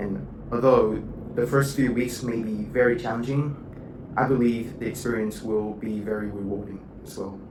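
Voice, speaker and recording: A man's medium-pitched voice with fairly even intonation and big swings in loudness, plus audible room echo and noticeable background noise. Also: moderate pace. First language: not English. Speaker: university student. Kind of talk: video log. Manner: halting.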